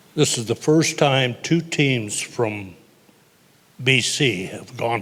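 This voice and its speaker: With a Canadian accent and ordinary pitch variation, the voice comes through over noticeable background noise. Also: man. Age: 90s. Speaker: athlete's grandfather, former curler. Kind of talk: on-stage interview.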